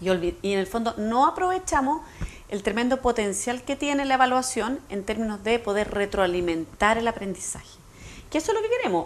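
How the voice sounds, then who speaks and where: A woman's fairly high, lively voice at a very fast pace over noticeable background noise. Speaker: education specialist. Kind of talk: TV interview. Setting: TV studio.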